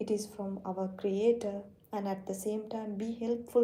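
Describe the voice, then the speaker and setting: The speaker has a non-native accent and a dark, mellow tone, somewhat breathy. Intonation stays monotone and flat, with audible room echo. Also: woman. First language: not English. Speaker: Islamic teacher streaming live. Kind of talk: live-stream religious talk. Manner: halting.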